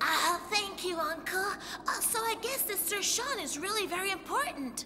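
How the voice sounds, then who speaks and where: Someone puts on a cartoonish character voice at a moderate pace. Clear background noise can be heard. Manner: cheerful, eager.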